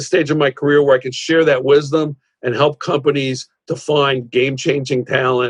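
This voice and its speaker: Fairly high-pitched man with an American accent, moderate pace and flat, monotone delivery, in a dry, close sound with no echo. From New York, Rockland County. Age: 60s. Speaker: executive search consultant, former tech CEO. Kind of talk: interview. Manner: halting, many fillers and repeated words.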